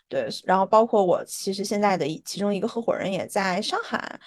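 At a fairly quick pace, a woman talks at medium pitch with ordinary pitch variation in an unremarkable speaking voice. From Harbin, northeast China. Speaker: startup founder. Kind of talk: interview.

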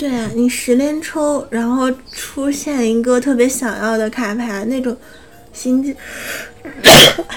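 A woman with a high pitch speaks at a very slow pace with long, frequent pauses and fairly even intonation, over noticeable background noise. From Northeast China. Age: 20s. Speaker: anime news podcast co-host. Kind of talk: news reading; casual chat.

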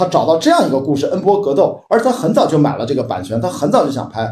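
A man speaks with a fairly high pitch. His voice swings very widely up and down. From Qingdao, Shandong, China. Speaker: film industry commentator. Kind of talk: casual chat. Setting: video call.

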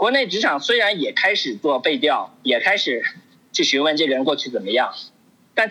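At a fairly quick pace, the speaker's pitch jumps very widely. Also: man. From China. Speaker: overseas Chinese professional. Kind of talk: casual discussion.

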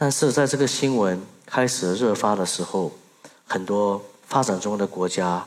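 Speaking with a Burmese accent, a man uses a fairly low pitch and ordinary pitch variation. His pace is fairly slow. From Myanmar, raised in Singapore from age 8. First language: Burmese (speaking Chinese). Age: 30s. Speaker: social entrepreneur. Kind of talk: stage talk. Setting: stage with audience.

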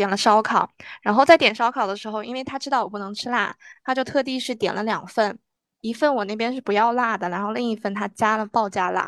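A woman with a plain, everyday voice speaks at a fairly high pitch with ordinary pitch variation. The sound is dry and close with no echo, in a very clean recording with a silent background. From northwest China. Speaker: graduate student and podcast host. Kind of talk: casual chat; self-introduction.

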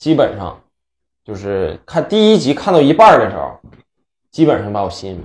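Vocal fry and very wide pitch swings run through speech at a moderate pace, with big swings in loudness. Long, frequent pauses break it up in a very clean recording with a silent background. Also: man, fairly high pitch for a man. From Northeast China (Inner Mongolia part). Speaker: podcast co-host. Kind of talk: casual chat.

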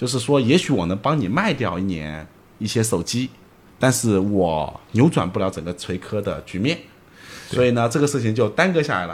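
His voice sits at a medium pitch for a man. The pitch swings very widely. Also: moderate pace. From Zhejiang, China. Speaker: entrepreneur, company executive director. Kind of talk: casual interview conversation. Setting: late-night recording.

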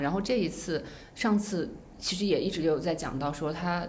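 A woman's fairly low voice with lively intonation and audible room echo. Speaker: former TV drama producer. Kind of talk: casual chat.

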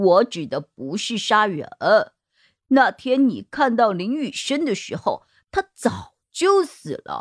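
A woman puts on a character voice at medium pitch, speaking slowly with very wide pitch swings in a dry, close sound with no echo over a very clean, silent background.

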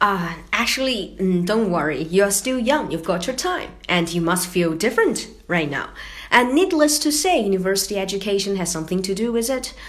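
A woman with a Chinese accent, medium-pitched, with very wide pitch swings, a moderate pace and audible room echo. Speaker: podcast co-host. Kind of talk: scripted podcast chat.

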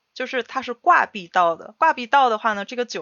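A woman speaks with a fairly high pitch and lively intonation at a fairly quick pace. It is an unremarkable speaking voice. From Northeast China. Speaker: podcast co-host. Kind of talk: casual chat.

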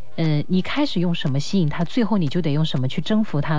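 The speech moves at a very fast pace with ordinary pitch variation. There is audible room echo and noticeable background noise. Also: woman. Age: 20s. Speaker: late-night radio host. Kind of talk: radio call-in chat.

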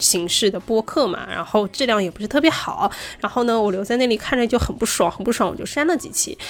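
Her intonation is lively and her pitch fairly high. This woman speaks at a very fast pace. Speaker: podcast co-host. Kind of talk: casual chat.

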